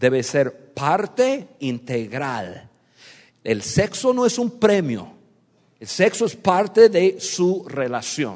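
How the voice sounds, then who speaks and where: Speaking very slowly in a high pitch with a non-native accent, a man makes very wide pitch swings and big swings in loudness. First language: not Spanish (speaking Spanish). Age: 50s. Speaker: pastor. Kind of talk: sermon. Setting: stage with audience. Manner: direct, blunt.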